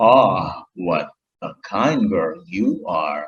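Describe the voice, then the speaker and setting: Growling in a put-on character voice, a man speaks at a medium pitch. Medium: read story. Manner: sly, sweet-talking.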